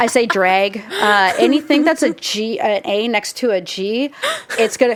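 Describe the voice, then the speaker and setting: A woman speaks at a fairly slow pace in a fairly high voice, her intonation lively over noticeable background noise. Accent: Pacific Northwest. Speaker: film podcast host. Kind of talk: reading aloud; casual chat.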